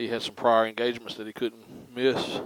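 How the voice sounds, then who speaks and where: This man has a slight Southern US accent. He speaks with monotone, flat intonation. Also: dry, close sound with no echo. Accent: slight Southern twang. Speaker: motorcycle vlogger. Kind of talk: casual vlog narration. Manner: halting, many fillers.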